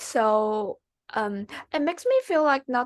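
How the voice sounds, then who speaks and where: A woman with a Chinese accent at a fairly slow pace, in a dry, close sound with no echo. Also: quiet background. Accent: Mandarin Chinese. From China, Xi'an (northwest). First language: Mandarin Chinese. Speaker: MBA applicant, finance professional. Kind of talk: interview. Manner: halting.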